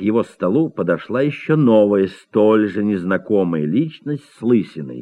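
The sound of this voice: An unforced reading voice with lively, bouncing intonation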